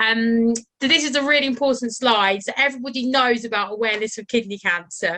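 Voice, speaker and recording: With a British accent, a woman talks in a bright, sharp tone at a fairly high pitch with ordinary pitch variation. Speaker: charity health professional lead. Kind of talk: presentation. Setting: video call. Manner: fast; casual, relaxed.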